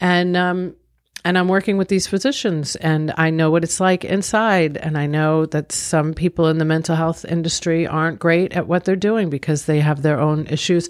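A woman with an American accent speaks in an unremarkable speaking voice, pitched fairly low. Her loudness stays very even and her intonation is fairly even. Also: moderate pace. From Long Island, New York. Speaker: business owner and author. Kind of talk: interview.

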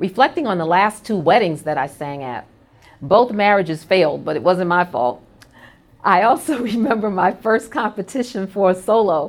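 With an American accent and a warm tone, a woman speaks at a moderate pace. Her medium-pitched voice makes very wide pitch swings. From New York City, Brooklyn. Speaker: corporate executive hosting internal podcast. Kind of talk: personal monologue. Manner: warm, conversational.

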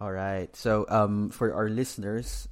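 A man speaks at a fairly slow pace with fairly even intonation. He has a normal speaking voice, fairly low in pitch. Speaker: podcast host. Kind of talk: interview podcast, casual chat.

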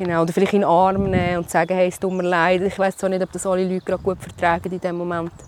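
The speaker is a woman with a medium pitch. Background noise is noticeable. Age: 30s. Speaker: cancer patient and mother. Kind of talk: personal testimony interview. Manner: hesitant with fillers.

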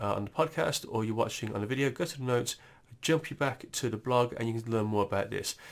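In a British accent, a man at a medium pitch speaks at a very fast pace on a very clean recording with a silent background. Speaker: tech news presenter. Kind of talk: tech update podcast. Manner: hesitant, many fillers and repetitions.

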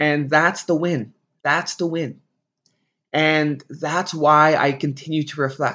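Against a quiet background, a man with a fairly high pitch and a bright, sharp tone speaks fairly slowly in a flat monotone. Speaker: teacher and podcast host. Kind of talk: solo podcast monologue.

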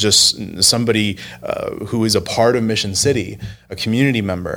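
Here a man talks at a fairly slow pace. His pitch is fairly low and his intonation fairly even. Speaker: church video producer and podcast host. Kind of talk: casual chat. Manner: formal when on camera.

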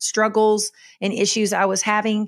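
In a very clean recording with a silent background, a woman with a Southern US accent speaks fairly slowly at medium pitch. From Kentucky. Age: 50s. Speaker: podcast host, minister. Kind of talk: solo podcast monologue. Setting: solo recording with camera and microphone. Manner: casual with frequent fillers.

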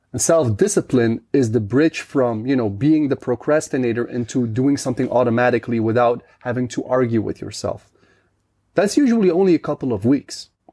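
Here a man talks in a Dutch accent at a fairly quick pace. His tone is dark and mellow, with ordinary pitch variation. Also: medium pitch for a man. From Netherlands. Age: 30s. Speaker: podcaster and guest. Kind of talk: casual interview chat.

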